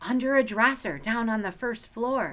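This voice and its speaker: In a put-on character voice, a female-sounding speaker talks at a moderate pace with fairly high pitch. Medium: read story. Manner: boastful, eager.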